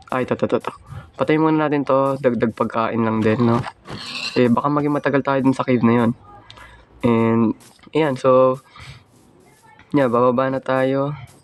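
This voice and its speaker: A man speaks at medium pitch in a monotone, flat delivery. He leaves long, frequent pauses over noticeable background noise. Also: moderate pace. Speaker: gaming YouTuber. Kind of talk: gameplay commentary. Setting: recording at home.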